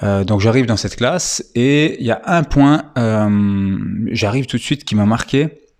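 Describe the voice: A man's fairly low voice with a slightly mellow tone and ordinary pitch variation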